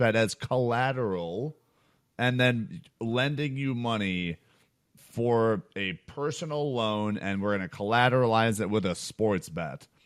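This man has an American accent and a medium pitch, talking at a very slow pace. His intonation is lively, and the background is quiet. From Chicago. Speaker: sports betting podcast co-host and company co-founder. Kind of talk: casual chat.

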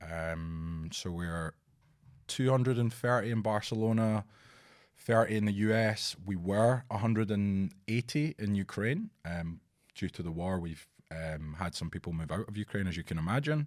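A man speaks in a Scottish accent, fairly low in pitch with ordinary pitch variation. The recording is very clean, with a silent background. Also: moderate pace. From Scotland; Edinburgh. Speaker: talent executive. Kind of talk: casual interview chat.

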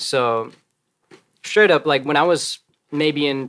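The voice carries an American accent with ordinary pitch variation. The sound is dry and close, with no echo. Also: man. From US Midwest. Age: 20s. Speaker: rapper and singer. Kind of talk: casual chat.

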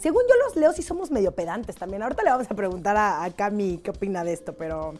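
Delivered at a very fast pace in a Mexican accent, the voice swings very widely in pitch. Its loudness shifts in big swings too. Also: woman. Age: 30s. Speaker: podcast host. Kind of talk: casual chat.

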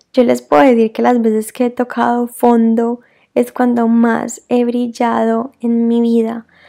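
A woman's fairly high voice with a dark, mellow tone and a fairly slow pace. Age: 20s. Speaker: podcast host, life coach. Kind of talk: solo reflective monologue. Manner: casual, conversational.

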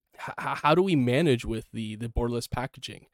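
With a normal speaking voice, a man talks at a fairly quick pace, medium in pitch, with ordinary pitch variation. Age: 20s. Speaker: podcast host. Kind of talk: casual chat.

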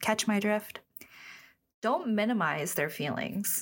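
This woman's pitch is fairly high. Her voice has vocal fry. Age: 20s. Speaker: podcast host. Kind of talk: casual solo podcast talk. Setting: studio. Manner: chatty, informal.

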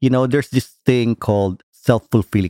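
A man with a Filipino accent has a dark, mellow tone at a medium pitch, on a very clean recording with a silent background. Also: dry, close sound with no echo. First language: Tagalog. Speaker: podcast host, psychotherapist. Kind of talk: casual interview.

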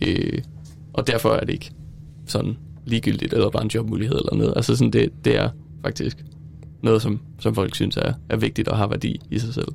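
Taking long, frequent pauses, a man still speaks at a fairly quick pace overall. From Denmark, Silkeborg. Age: 20s. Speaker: student teacher. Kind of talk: casual chat. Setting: studio. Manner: halting.

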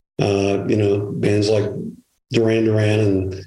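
A man with a Chicago accent speaks fairly slowly in a fairly low, somewhat breathy voice with a dark, mellow tone. His intonation is flat and monotone, and audible room echo surrounds him. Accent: Chicago American English. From Chicago area. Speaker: retired music publicist. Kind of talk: interview conversation. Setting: remote from home. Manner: halting, many fillers and repetitions.

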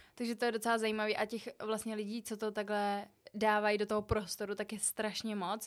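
In a very clean recording with a silent background, a woman speaks fairly quickly at a fairly high pitch, with monotone, flat intonation. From Czech Republic, Prague. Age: 20s. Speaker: podcast co-host, student. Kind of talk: casual chat.

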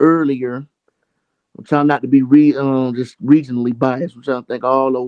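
With a Southern US accent, a man speaks at a medium pitch and with fairly even intonation. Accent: Southern US (Georgia). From Georgia, US South. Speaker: indie hip hop artist. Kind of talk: casual interview.

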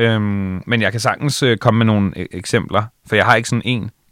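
A man at a moderate pace with fairly even intonation, in a very clean recording with a silent background. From Bornholm, Denmark (Allinge). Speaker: radio host and DJ. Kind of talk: casual interview. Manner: halting, many fillers and repetitions.

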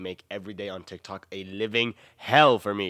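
The voice has a bright, sharp, animated tone. It carries an American accent. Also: man. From US South. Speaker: podcast host. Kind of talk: casual monologue.

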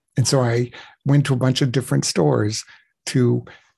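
Against a quiet background, a man speaks at a moderate pace in a somewhat breathy, dark, mellow voice of medium pitch with ordinary pitch variation. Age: 60s. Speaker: webcam performer. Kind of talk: casual interview. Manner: halting.

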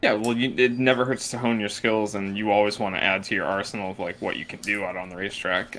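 Against noticeable background noise, a man with a fairly low pitch rattles along at a very fast pace in a monotone, flat intonation. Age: 20s. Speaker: podcast co-host. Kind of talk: casual chat.

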